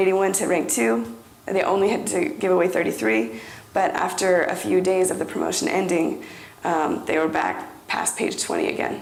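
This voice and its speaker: Noticeable background noise and audible room echo surround the recording. A woman speaks at a moderate pace. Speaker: conference presenter. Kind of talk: presentation.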